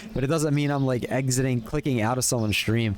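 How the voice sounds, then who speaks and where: A man with an American accent and a medium pitch talks at a very fast pace with ordinary pitch variation, with noticeable background noise behind him. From US, Pennsylvania (Philadelphia area). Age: 30s. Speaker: streamer. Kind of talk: casual chat. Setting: live stream. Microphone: new earbuds and mic.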